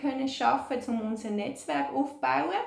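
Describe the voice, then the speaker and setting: A woman speaks with a Swiss accent in a high pitch. Her tone is upbeat. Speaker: childcare organisation team member. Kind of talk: video message to volunteers.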